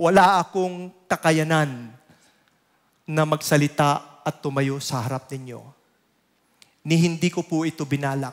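Against a quiet background, a man with a fairly high pitch talks at a fairly slow pace with fairly even intonation and long, frequent pauses. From Philippines. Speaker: lay preacher. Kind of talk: sermon. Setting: church. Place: church. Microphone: headset.

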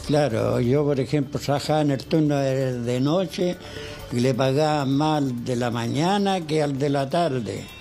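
Over faint music in the background, a man speaks at a fairly slow pace in a fairly high pitch, keeping very even loudness and ordinary pitch variation. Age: old. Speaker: retired night-shift building concierge. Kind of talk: interview answer. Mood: aggrieved, hesitant. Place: home room. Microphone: handheld.

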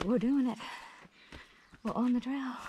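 Her fairly high pitch pairs a dark, mellow tone with a slightly husky edge in this woman's voice. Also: ordinary pitch variation, moderate pace.

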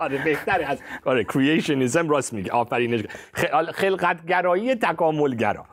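At a moderate pace, a man talks in a fairly high pitch. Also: lively intonation. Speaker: pastor and science-faith commentator; pastor, science-faith commentator. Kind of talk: religious discussion show. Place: studio. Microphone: lapel.

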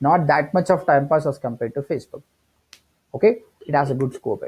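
In an Indian accent, a man speaks at a very fast pace in a dark, mellow, somewhat breathy tone with a fairly high pitch. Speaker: digital marketing trainer. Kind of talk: tutorial. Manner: hesitant with many fillers.

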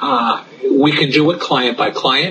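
A man speaks with light background noise behind him. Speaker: interviewee. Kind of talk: interview answer. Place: office. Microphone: video call.

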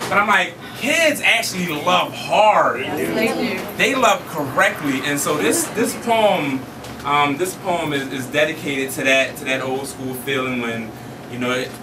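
A man's fairly high voice with an American accent, fairly slow and lively in intonation, over noticeable background noise. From Philadelphia. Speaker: spoken word poet. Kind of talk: casual talk to audience. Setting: live venue. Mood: warm, humorous. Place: hall. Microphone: camera far.

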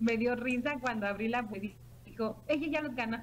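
A woman with a fairly high pitch sounds somewhat breathy over light background noise. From Mexico, Morelia, Michoacán. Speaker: direct sales team leader. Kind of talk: sales pitch. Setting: online video call. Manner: halting, many fillers. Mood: cheerful, amused. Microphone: webcam.

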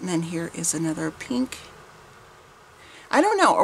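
The speaker is a woman. Light background noise sits behind her voice. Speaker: vintage haul vlogger. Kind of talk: casual vlog chat. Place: home room. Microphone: camera far.

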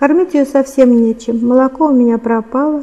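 A woman with a high-pitched voice talks at a moderate speed. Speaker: writer, former engineer. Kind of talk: interview and reading aloud from her book. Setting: studio. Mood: calm, narrative. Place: studio.

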